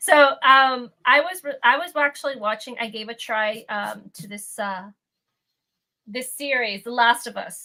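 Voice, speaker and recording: With a high pitch and a bright, sharp tone, a woman speaks at a fairly slow pace, her loudness swinging widely while her pitch varies in an ordinary way. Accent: Midwestern US. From Canada and Peru. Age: 30s. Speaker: lore content creator. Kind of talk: casual chat.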